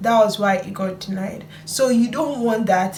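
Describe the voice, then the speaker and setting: Noticeable background noise and audible room echo fill the recording. A woman speaks at a fairly slow pace with ordinary pitch variation. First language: not English. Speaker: student vlogger. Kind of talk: vlog tutorial.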